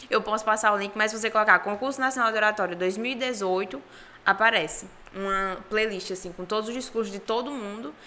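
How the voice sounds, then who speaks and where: A fairly high-pitched woman's voice with a northeastern Brazilian accent, bright and sharp in tone, at a fairly quick pace with ordinary pitch variation. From Brazilian Northeast, Ceará and Paraíba. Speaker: oratory contest finalist. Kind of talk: podcast interview.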